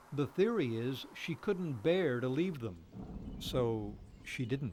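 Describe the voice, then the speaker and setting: Somewhat breathy, a man at medium pitch speaks at a very slow pace with very wide pitch swings. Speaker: TV news reporter. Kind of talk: TV news feature narration.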